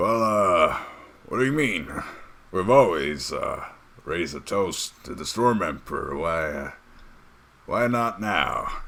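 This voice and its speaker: A man puts on a raspy character voice at medium pitch. He goes at a fairly slow pace with long, frequent pauses. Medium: actual play.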